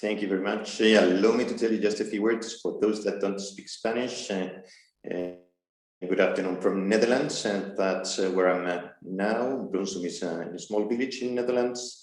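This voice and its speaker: A man speaks at a fairly slow pace in a fairly low pitch, his intonation fairly even, with audible room echo around him. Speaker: army colonel, seminar speaker. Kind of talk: seminar talk.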